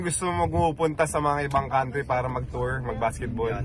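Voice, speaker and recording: A man's voice with noticeable background noise. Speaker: former pro basketball player, vlogger. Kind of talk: casual chat. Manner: animated.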